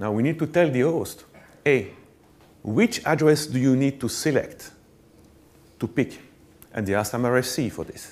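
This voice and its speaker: A fairly slow delivery with a French accent, ordinary pitch variation, and long, frequent pauses. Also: man. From Belgium. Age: middle-aged. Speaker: network engineer, conference speaker; conference speaker. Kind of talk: conference talk. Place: stage. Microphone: lapel.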